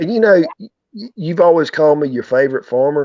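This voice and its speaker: With a North Carolina accent, a man talks at a moderate pace in a fairly high voice, his intonation lively. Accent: Southern, North Carolina. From US South, North Carolina. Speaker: farmer and YouTuber. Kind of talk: casual chat.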